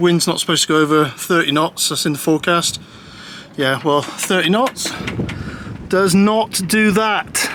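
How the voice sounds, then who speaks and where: A high-pitched male voice at a moderate pace, with ordinary pitch variation, long, frequent pauses and noticeable background noise. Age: 60s. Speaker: solo sailor vlogger. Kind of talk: casual vlog narration. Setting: on a boat in a storm. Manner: agitated, swearing under stress.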